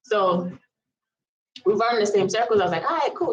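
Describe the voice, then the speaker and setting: A woman speaks in an American accent. Her tone is animated. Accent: Virgin Islands accent, noticed by others. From US Virgin Islands, Saint Thomas. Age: 30s. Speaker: vlogger. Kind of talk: storytime monologue. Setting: live stream.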